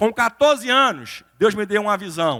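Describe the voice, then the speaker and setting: In a very clean recording with a silent background and a dry, close sound with no echo, a man with a Recife accent uses a raised, projected, high voice with a bright, sharp tone, lively intonation, and a fairly slow pace. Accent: northeastern Brazilian (Recife). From Brazil, Recife (Pernambuco). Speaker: lawyer, motivational speaker. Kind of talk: motivational talk. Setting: stage with audience in a church.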